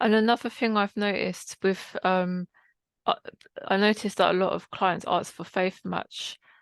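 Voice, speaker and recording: Recorded dry and close with no echo against a quiet background, a woman speaks at a moderate pace and medium pitch, her intonation monotone and flat, with long, frequent pauses. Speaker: counsellor, workshop participant. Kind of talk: group discussion.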